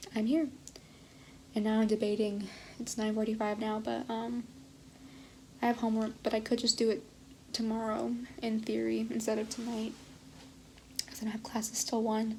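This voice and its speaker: A woman whispers at a moderate pace. She leaves long, frequent pauses. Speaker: college student vlogger. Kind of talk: casual vlog monologue. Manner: whispering.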